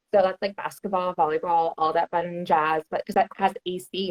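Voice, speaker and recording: An ordinary speaking voice from a woman with an American accent, fairly low in pitch, at a fairly quick pace with fairly even intonation. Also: hardly any pauses. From Texas, Houston. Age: 30s. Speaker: outdoor content creator. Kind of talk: casual chat.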